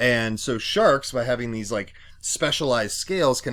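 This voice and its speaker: A man with a normal speaking voice talks at a medium pitch and a moderate pace, with lively intonation. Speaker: science teacher. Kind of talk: recorded lecture. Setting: home basement. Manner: many fillers (um, uh).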